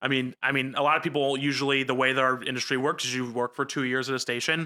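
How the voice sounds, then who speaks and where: A bright, sharp voice with a New Jersey accent talks at a fairly quick pace. The recording is very clean and dry, close with no echo and a silent background. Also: man. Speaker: news reporter. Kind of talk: casual chat.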